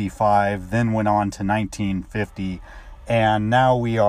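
It is plain reading aloud with fairly even intonation.

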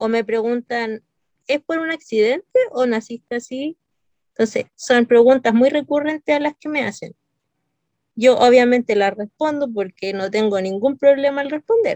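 A woman speaks at a moderate pace with a high pitch and ordinary pitch variation. The sound is dry and close, with no echo. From Santiago, Chile. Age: 30s. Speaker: knitter, wheelchair user. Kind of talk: casual interview.

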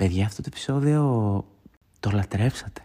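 A man's dark, mellow tone in a very clean recording with a silent background. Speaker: podcast host. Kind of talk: solo casual monologue.

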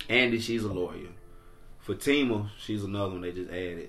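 With audible room echo, a man with a Southern US accent speaks in an animated tone at a very deep, low pitch. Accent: Southern US (Georgia). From Georgia, near Atlanta. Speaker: podcast co-host. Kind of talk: casual chat.

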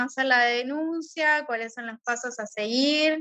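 The voice is raised and projected, with a bright, sharp tone, fairly even intonation and a fairly slow pace. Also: woman. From Argentina. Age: 30s. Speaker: teacher and gender violence advocate. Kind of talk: interview.

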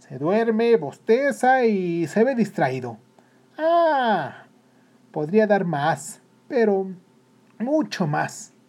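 The put-on character voice moves very slowly, with big pitch swings and a slightly mellow tone.

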